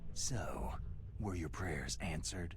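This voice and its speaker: A man puts on a character voice with a very deep, low pitch. Loud background noise runs underneath. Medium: video game. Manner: terse, gruff.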